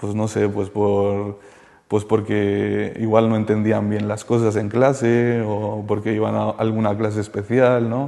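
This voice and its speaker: A man speaks very slowly in a fairly low pitch. His tone is dark and mellow, with monotone, flat intonation. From Colombia, moved to Spain at ten. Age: 30s. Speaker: former addict giving testimony. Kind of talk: testimony interview. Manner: halting, many fillers.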